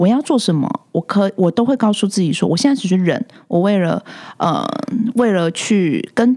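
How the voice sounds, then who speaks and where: A woman speaks at a fairly quick pace. Her medium-pitched voice has lively intonation. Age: 30s. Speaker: care home owner. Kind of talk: casual interview chat. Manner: animated.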